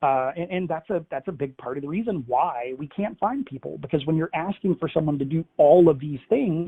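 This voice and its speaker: With an unremarkable speaking voice, a man talks at a fairly quick pace and fairly high pitch, with ordinary pitch variation and hardly any pauses. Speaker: cybersecurity research analyst. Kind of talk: webinar presentation. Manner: conversational with many fillers.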